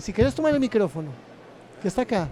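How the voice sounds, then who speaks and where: Here a man speaks at a very fast pace in a high pitch. His pitch swings very widely. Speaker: interviewer. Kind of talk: interview. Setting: book fair.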